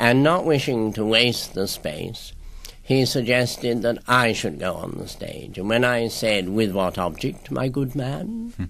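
Speaking at a fairly slow pace, the man has lively intonation. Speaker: guest. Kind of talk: interview answer. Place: studio.

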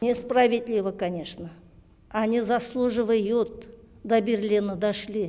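Very slow speech from a woman, fairly high in pitch and fairly even in intonation. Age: 60s. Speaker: war veteran's daughter. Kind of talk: news interview. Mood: aggrieved, earnest. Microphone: handheld.

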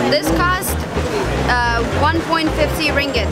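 Clear music sounds in the background while a woman speaks at a moderate pace. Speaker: travel vlogger. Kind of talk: casual vlog chat. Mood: cheerful, relaxed. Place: market.

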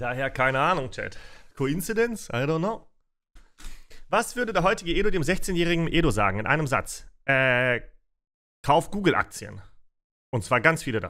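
A man with a fairly high pitch, bright, sharp tone and vocal fry speaks at a moderate pace, swinging very widely in pitch. He leaves long, frequent pauses against a quiet background. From Russia (Siberia), raised in Germany. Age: 30s. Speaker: streamer. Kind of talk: Q&A livestream chat. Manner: casual. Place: home room.

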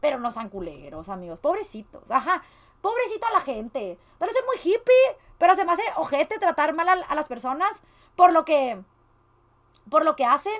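In a Mexican accent, a woman talks at a moderate pace and an extremely high pitch, with very wide pitch swings and an animated tone. Long, frequent pauses break up her speech against a quiet background. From Mexico. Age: 20s. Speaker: streamer. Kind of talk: reaction commentary. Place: home room.

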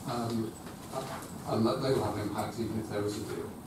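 A man at a moderate pace, with audible room echo and loud background noise. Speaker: councillor presenting a report. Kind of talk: formal meeting statement. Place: meeting room.

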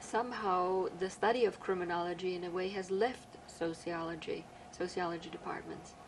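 Here is a normal speaking voice from a woman at medium pitch. She keeps a moderate pace and a fairly even intonation. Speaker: criminal justice professor, interviewer. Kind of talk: oral history interview.

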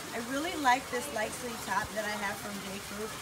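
A woman talks at a moderate pace while loud background noise carries on. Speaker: wine vlogger. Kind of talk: casual vlog tutorial. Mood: cheerful, upbeat. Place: garden. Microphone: camera far.

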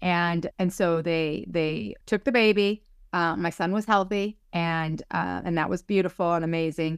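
A woman talks in a plain, everyday voice, fairly low in pitch with ordinary pitch variation, at a fairly slow pace. The sound is dry with no echo, and the background is quiet. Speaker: psychic medium and spiritual teacher. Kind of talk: casual interview. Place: home room. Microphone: video call.

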